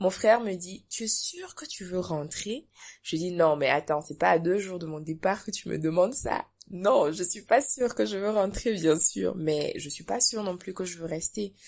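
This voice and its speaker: At a moderate pace, a woman uses an ordinary speaking voice at medium pitch, with lively intonation and big swings in loudness. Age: young. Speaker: entrepreneur and business coach. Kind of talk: interview.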